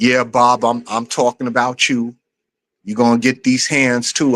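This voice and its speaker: With a New York accent, a man speaks at a moderate pace and with fairly even intonation, the sound dry and close with no echo. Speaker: streamer, channel host. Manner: casual, conversational, lots of filler phrases.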